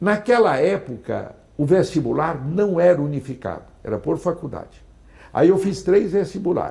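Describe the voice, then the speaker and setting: A man with a high-pitched, dark, mellow tone speaks at a moderate pace with lively intonation. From Brazil, Goiás (Niquelândia). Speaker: politician and professor. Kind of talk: interview.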